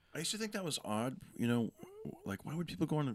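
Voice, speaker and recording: A man with an American accent talks very fast with lively intonation, in a dry, close sound with no echo. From California, Fresno. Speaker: comedian. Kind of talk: casual chat. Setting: in-person podcast studio at a comedy club.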